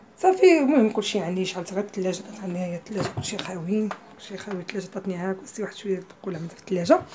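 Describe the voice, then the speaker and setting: Noticeable background noise sits behind speech delivered very fast. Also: woman. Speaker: lifestyle vlogger. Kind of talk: travel vlog narration.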